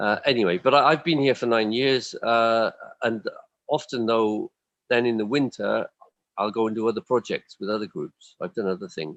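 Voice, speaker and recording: In a Welsh accent, a man speaks at medium pitch. His pace is moderate. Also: ordinary pitch variation. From Wales. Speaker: stage actor. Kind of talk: casual interview chat. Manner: halting, many repeated words and fillers.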